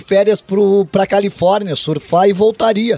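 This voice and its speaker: High-pitched male voice, dry with no echo. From southern Brazil, Rio Grande do Sul. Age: 50s. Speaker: radio sports journalist. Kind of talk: casual interview chat. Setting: studio. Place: studio. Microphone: studio mic.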